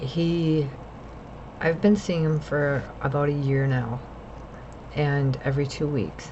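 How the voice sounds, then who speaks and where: A woman's very deep, low voice at a very slow pace, with long, frequent pauses, very even loudness and fairly even intonation, plus audible room echo and noticeable background noise. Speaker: mental health vlogger. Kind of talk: personal vlog monologue. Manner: rambling, jumps between topics.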